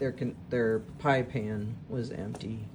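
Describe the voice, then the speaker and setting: Noticeable background noise surrounds a woman as she speaks. Her voice carries audible room echo. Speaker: teacher and guinea pig keeper. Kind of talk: casual vlog narration. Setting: indoors, pet room at midnight. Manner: hesitant, many fillers.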